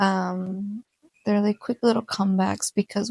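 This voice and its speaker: The sound is close and dry, without any echo. A woman talks at a moderate pace. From Mexican American. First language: Spanish. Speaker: podcast host. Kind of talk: casual solo podcast chat. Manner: hesitant with many fillers.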